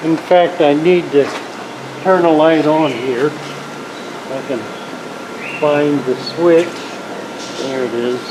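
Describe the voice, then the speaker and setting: Very slow speech over noticeable background noise. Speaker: aquarium keeper and fish plant seller. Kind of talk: casual talk to camera.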